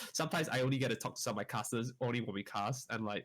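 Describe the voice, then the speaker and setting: A man speaks at a very fast pace and medium pitch on a very clean recording with a silent background. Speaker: esports caster. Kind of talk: casual chat. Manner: not well articulated.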